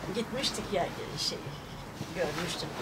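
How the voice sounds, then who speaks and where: A woman is speaking in audible room echo. Noticeable background noise runs underneath. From Çatalca, Istanbul, Turkey. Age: 80s+. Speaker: grandmother telling family history. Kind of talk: oral history interview. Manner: halting.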